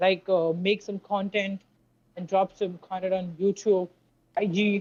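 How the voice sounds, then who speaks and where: A woman speaks with an Indian accent at a medium pitch. Her intonation is monotone and flat, and her pace is fairly slow. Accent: Indian English accent, noticeable. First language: Hindi. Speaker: sales freelancer. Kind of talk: casual chat. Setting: call. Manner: halting. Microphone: keeps cutting out on the call.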